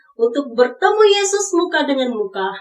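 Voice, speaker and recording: This is a woman talking. Her pitch swings very widely. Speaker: devotional speaker. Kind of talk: devotional sermon reflection.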